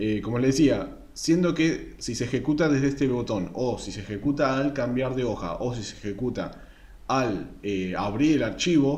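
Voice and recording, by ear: A man speaks at a medium pitch with a slightly mellow tone. His intonation is lively and his pace moderate.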